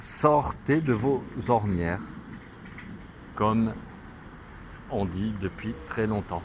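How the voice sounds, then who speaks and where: Pausing long and often, a man talks at a very slow pace in a fairly low pitch. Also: ordinary pitch variation. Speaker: religious vlogger. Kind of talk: religious monologue. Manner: loud.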